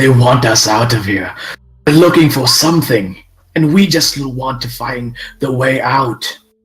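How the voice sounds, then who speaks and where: A man uses a put-on character voice at a medium pitch. He keeps a moderate pace. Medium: actual play. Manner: urgent, determined.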